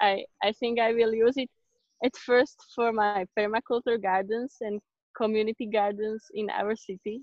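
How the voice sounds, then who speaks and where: The speaker talks at a moderate pace with a Slovak accent and monotone, flat intonation. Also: woman, fairly high pitch for a woman. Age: 20s. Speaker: exchange student. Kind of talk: interview. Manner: halting.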